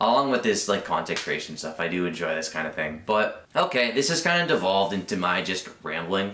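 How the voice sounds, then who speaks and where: A man talks at a fairly quick pace with lively intonation. Noticeable background noise runs underneath. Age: 20s. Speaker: vlogger. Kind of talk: casual vlog monologue. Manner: rambling filler-heavy, unscripted; occasional stuttering.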